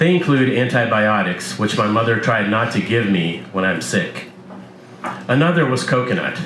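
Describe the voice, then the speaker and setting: A man's medium-pitched voice at a moderate pace, lively in intonation and very even in loudness, with audible room echo and noticeable background noise. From Soviet Union (Moscow), raised in US from about age 8. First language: Russian. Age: 40s. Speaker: author and painter. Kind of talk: reading aloud; casual introduction at live reading.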